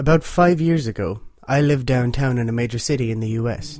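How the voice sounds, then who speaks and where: In an Irish accent, a man talks at a medium pitch with ordinary pitch variation. Music plays in the background. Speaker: horror story narrator. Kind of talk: horror story reading.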